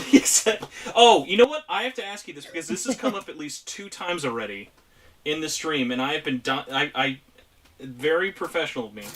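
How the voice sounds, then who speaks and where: This man talks loudly at a fairly quick pace. His fairly high pitch moves in very wide swings. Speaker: streamer and podcast host. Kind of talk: casual chat. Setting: video call.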